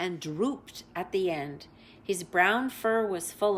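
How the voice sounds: The reading voice sounds natural. That is all there is to it.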